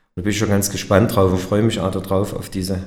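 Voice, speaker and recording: Audible room echo surrounds a man's fairly low voice. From Erzgebirge, Saxony. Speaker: company director. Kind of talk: interview. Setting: company meeting room.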